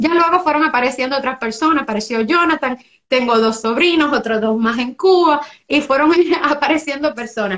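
A woman with a high pitch and ordinary pitch variation. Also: fairly quick pace. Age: 20s. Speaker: small business owner. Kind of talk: interview.

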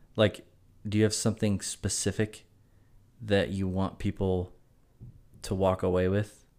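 On a very clean recording with a silent background, a man with an American accent speaks in a monotone, flat intonation at a fairly low pitch and a moderate pace. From South Carolina (Greenville). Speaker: podcast co-host, golfer. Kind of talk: casual chat. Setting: hotel room.

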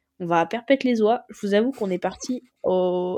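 This woman's voice has a dark, mellow tone. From northern France (Picardie, Noyon). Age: 20s. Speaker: sport shooter. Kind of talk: interview. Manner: casual, halting with fillers.

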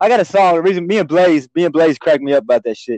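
A man speaks with an American accent. His voice sits fairly high. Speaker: podcast host. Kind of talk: casual chat. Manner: animated. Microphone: connection dropping.

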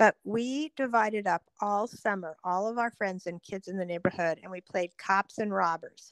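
A woman speaks in an unremarkable speaking voice at a medium pitch and moderate pace. Her pitch varies in an ordinary way, with a dry, close sound with no echo. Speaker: younger sister telling childhood stories. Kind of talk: elder telling life stories, casual reminiscing. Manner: vivid, descriptive, laughing.

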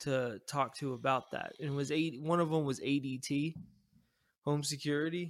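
This man has an ordinary speaking voice, fairly high in pitch, with fairly even intonation at a moderate pace. The recording is very clean, with a silent background. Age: 30s. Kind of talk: casual chat.

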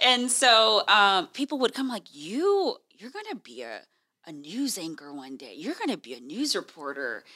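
On a very clean recording with a silent background, a woman speaks with an American accent. Her tone is bright and sharp, medium in pitch, with vocal fry and very wide pitch swings. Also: moderate pace. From Texas, Houston. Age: 30s. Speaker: TV news anchor. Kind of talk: casual chat.

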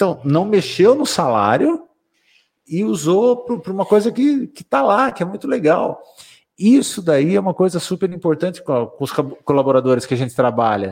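A man speaks at a moderate pace with a high pitch and very wide pitch swings. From Brazil, São Roque region, São Paulo state. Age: 50s. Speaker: business director. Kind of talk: casual interview.

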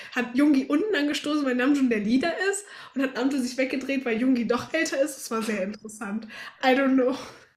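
A woman speaks at a fairly quick pace in a high pitch. Noticeable background noise can be heard. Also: ordinary pitch variation. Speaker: podcast co-host. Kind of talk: casual chat.

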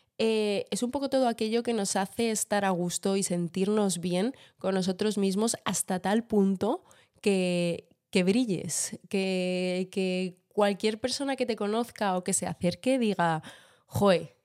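In a very clean recording with a silent background, a woman speaks at medium pitch with ordinary pitch variation and a dark, mellow tone. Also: dry, close sound with no echo. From Madrid, Spain. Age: 20s. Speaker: podcast co-host. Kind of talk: casual chat. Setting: home kitchen.

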